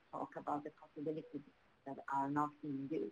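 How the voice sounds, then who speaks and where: A woman speaks with a Swedish accent. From Sweden, Botkyrka. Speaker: municipal official. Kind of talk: webinar panel discussion. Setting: online webinar. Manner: halting.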